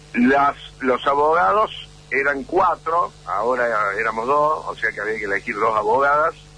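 Noticeable noise fills the background. The speaking pace is fairly slow. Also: man. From Argentina, Córdoba. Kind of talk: radio interview.

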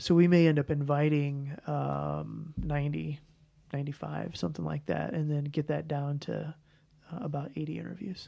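A moderate pace with a Midwestern American accent. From US Midwest, St. Louis. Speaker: family medicine residency program director. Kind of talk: interview conversation.

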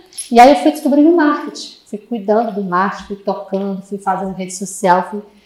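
A woman's normal speaking voice, fairly high in pitch, with lively intonation at a moderate pace. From Brazil, Fortaleza, Ceará. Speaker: marketing manager of a sales consultancy. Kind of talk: podcast interview.

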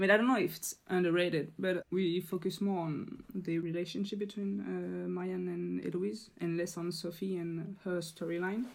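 With a French accent, a woman speaks at a moderate pace with hardly any pauses. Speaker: podcast guest, French translator. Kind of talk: casual chat; pronunciation tutorial. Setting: remote call, late at night.

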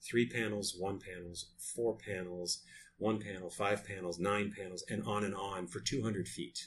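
A somewhat breathy, fairly low-pitched man's voice with an American accent. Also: fairly even intonation, moderate pace. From US Northeast, Lewiston, Maine. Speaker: architect and designer. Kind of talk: interview. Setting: in person in his office.

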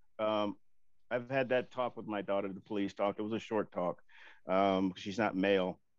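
This man has a plain, everyday voice, fairly low in pitch. He talks at a moderate pace with fairly even intonation. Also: quiet background. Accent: American. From US Deep South and Oakland. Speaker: panel guest, father. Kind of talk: casual panel discussion.

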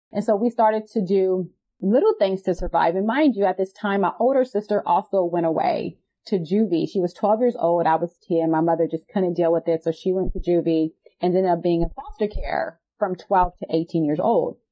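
Speaking with a Californian accent, a woman talks at medium pitch and a moderate pace. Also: ordinary pitch variation. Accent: Californian American English. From Los Angeles, California. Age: 30s. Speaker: nonprofit CEO and social justice advocate. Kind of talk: interview, personal testimony.

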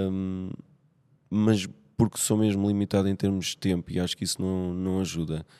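On a very clean recording with a silent background and a dry, close sound with no echo, a man with a European Portuguese accent speaks at a moderate pace in a very deep, low pitch, with a dark, mellow tone and monotone, flat intonation. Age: 40s. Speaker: nurse. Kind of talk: casual chat. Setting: gym.

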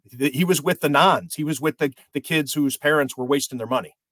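This man talks at a fairly quick pace in a normal speaking voice, fairly high-pitched, with a dry, close sound and no echo. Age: 50s. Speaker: sports journalist. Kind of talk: casual chat.

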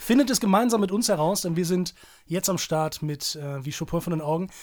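Very fast speech on a very clean recording with a silent background. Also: man. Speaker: journalist and podcast co-host. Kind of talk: casual chat. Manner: louder than co-host.

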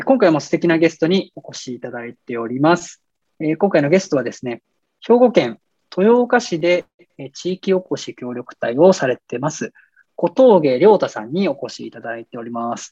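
At a moderate pace, a man with a fairly high pitch and a dark, mellow tone makes very wide pitch swings and big swings in loudness. The sound is dry and close, with no echo. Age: 30s. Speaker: podcast host. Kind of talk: scripted show introduction. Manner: formal, polite.

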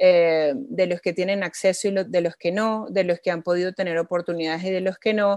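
An ordinary speaking voice from a woman, medium in pitch, at a fairly quick pace with fairly even intonation. The sound is dry and close, with no echo. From Venezuela. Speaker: social entrepreneur. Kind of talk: interview.

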